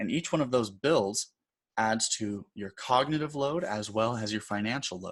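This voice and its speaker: Over a quiet background, an ordinary speaking voice with ordinary pitch variation keeps a moderate pace. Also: man. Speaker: design instructor. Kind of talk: tutorial. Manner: casual, conversational.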